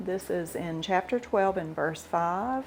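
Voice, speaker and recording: With an American accent, a woman talks at medium pitch. She keeps a fairly slow pace and ordinary pitch variation. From US South. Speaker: cooking video host. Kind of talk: casual talk on scripture. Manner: relaxed, with fillers.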